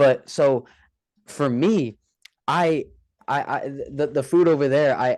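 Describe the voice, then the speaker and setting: A man with an American accent and fairly high pitch, at a very slow pace with long, frequent pauses and ordinary pitch variation. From born in UK, raised in US from early childhood. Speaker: influencer boxer. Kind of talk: casual interview chat.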